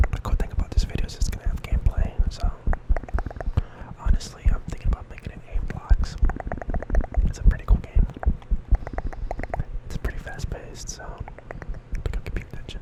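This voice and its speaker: Someone whispers at a fairly quick pace, broken by long, frequent pauses, over noticeable background noise. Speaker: ASMR creator. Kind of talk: ASMR gaming ramble. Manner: soft-spoken.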